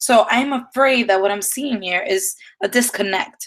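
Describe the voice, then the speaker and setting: With a slight Dominican accent, a woman speaks at a fairly high pitch with ordinary pitch variation. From Dominican Republic. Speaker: dance teacher. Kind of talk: live-streamed lecture. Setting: live stream.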